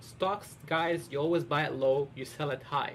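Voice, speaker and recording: This man's fairly high-pitched voice has a somewhat breathy quality. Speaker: streamer. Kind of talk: live game stream commentary. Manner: fast; animated.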